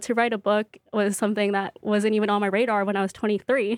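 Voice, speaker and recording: This is a woman with an ordinary speaking voice at medium pitch, recorded with a dry, close sound and no echo. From US West Coast, Bay Area and Central Valley, California. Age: 20s. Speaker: cookbook author and baker. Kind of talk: interview. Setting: studio.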